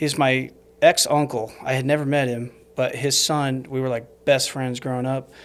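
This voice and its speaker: A man with an American accent at a medium pitch, monotone and flat, moving at a moderate pace on a very clean recording with a silent background. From Arizona (Snowflake). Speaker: investor. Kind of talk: podcast interview. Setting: studio.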